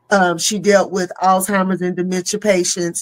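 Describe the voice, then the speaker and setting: The speaker has a Southern accent. The pace is moderate. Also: woman. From US South. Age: 50s. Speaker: comedian. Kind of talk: casual chat. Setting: live stream. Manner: animated.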